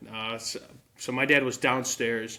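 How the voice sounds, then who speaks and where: A man speaks loudly with an American accent. His medium-pitched voice has a bright, sharp tone. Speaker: sports journalist. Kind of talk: casual chat.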